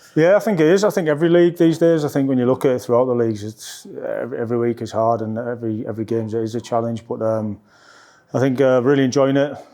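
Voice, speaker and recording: Talking at a very fast pace in a North East England accent, a man with a medium pitch and a dark, mellow tone shows ordinary pitch variation. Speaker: football assistant coach. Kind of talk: press interview. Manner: level, calm; hesitant, many fillers.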